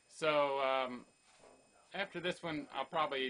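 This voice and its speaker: Here a man speaks at a moderate pace. His tone is bright and sharp. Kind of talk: casual talk to camera. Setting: home, kitchen background noise.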